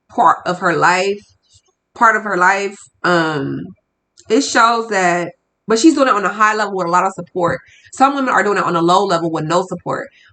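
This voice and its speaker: A woman speaks at a medium pitch in an animated tone. Her tone is bright and sharp, with ordinary pitch variation. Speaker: podcast host. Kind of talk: solo podcast monologue.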